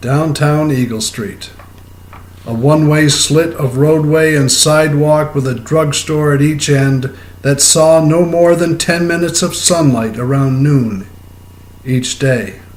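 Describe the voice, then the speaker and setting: This man has an American accent and talks at a fairly slow pace. Audible room echo surrounds his voice. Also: fairly high pitch for a man, ordinary pitch variation. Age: 70s. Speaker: poet. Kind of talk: poetry reading.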